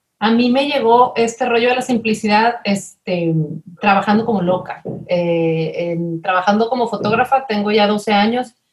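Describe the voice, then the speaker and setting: A woman's normal speaking voice, fairly high in pitch, at a moderate pace with ordinary pitch variation. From Mexico, Monterrey. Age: 30s. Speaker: family consultant. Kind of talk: interview conversation.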